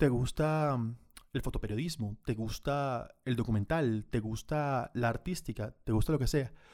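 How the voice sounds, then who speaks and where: In an ordinary speaking voice, a man talks at a fairly slow pace with ordinary pitch variation and very even loudness. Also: medium pitch for a man. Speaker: photographer and videographer. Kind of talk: webinar tutorial.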